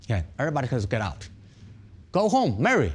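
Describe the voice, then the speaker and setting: Speaking with a Chinese accent, a man uses medium pitch and a moderate pace. His tone is animated, with vocal fry. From China. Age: 50s. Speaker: Shaolin monk, temple abbot. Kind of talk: interview. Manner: animated, repetitive. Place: home room. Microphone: lapel.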